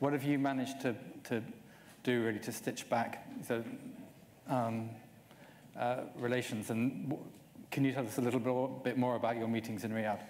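A man with monotone, flat intonation and long, frequent pauses over light background noise. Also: moderate pace. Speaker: journalist. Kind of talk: panel interview. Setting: stage with audience. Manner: hesitant, repeats words. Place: stage. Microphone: lapel.

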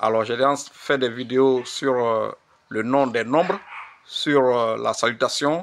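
Speaking very slowly, a man uses fairly even intonation at a medium pitch. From Côte d'Ivoire, Wê region (Facobly). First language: Wê (speaking French). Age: old. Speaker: language teacher. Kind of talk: tutorial. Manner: slow, repetitive.

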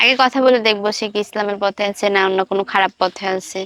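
The sound is dry and close with no echo as a woman speaks at medium pitch in an unremarkable speaking voice with fairly even intonation. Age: 20s. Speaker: young woman seeking marriage. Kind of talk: interview answers.

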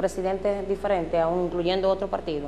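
Light noise sits behind a woman as she talks. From Dominican Republic. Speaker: local TV host. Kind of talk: political interview. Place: studio.

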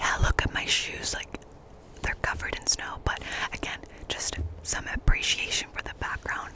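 At a moderate pace, a woman is whispering. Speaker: ASMR creator. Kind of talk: casual vlog chat. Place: open country. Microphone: studio mic.

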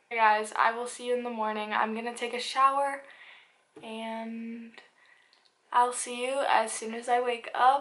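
With audible room echo, a woman speaks at a fairly slow pace in a fairly high pitch and monotone, flat intonation. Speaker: lifestyle vlogger. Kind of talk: casual vlog. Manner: casual, filler words.

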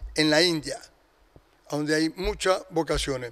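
A man talks in a monotone, his intonation flat throughout. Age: 70s. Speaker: retired religious brother and teacher. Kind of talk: interview. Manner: halting. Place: studio. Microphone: handheld.

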